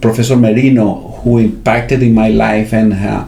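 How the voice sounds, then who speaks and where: A man with a Spanish accent, medium in pitch, at a fairly slow pace, amid audible room echo and noticeable background noise. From Venezuela. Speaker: finance academic with a doctorate. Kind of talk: interview. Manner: halting, many fillers.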